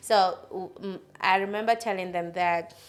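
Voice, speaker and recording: With fairly even intonation, the woman's voice sits at a medium pitch. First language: not English. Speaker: podcast host. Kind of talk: casual chat.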